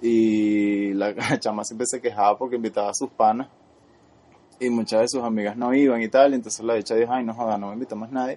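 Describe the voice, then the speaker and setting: Delivering his words at a fairly quick pace, a man has a dark, mellow tone and monotone, flat intonation. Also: medium pitch for a man. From Venezuela. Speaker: podcast co-host. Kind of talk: casual chat.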